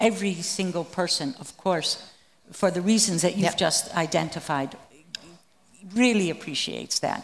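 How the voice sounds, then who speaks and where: A woman's unremarkable speaking voice, fairly low in pitch with ordinary variation, at a moderate pace. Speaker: researcher of former East German activists. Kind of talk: panel discussion.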